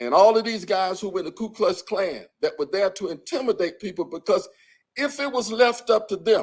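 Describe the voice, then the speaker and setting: A man with an American accent talks at a moderate pace. His pitch is high, with ordinary variation. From US South, Birmingham, Alabama. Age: 70s. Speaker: civil rights bombing survivor, speaker. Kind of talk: public talk. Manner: halting, repeats words.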